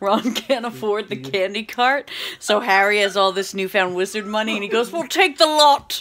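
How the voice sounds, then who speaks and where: A woman's moderately paced talk comes through noticeable background noise. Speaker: vlogger. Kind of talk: casual vlog chat. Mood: cheerful, laughing. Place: kitchen. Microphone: phone near.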